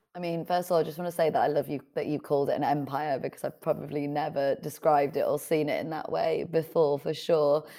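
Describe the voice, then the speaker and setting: In a Yorkshire accent, a woman with a very deep, low pitch talks at a very fast pace in a monotone, flat intonation, with hardly any pauses. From northern England, Leeds. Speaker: author and entrepreneur. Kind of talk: interview.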